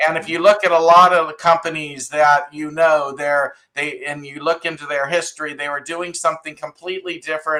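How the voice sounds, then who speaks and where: Speaking at a moderate pace in an American accent, a man has a plain, everyday voice with fairly high pitch and fairly even intonation. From US West Coast. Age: 60s. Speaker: startup investor. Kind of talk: podcast interview.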